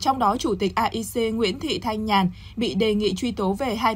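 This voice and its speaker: Somewhat breathy, a woman talks at a moderate pace with a medium pitch and ordinary pitch variation. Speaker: news anchor. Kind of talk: news reading. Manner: formal.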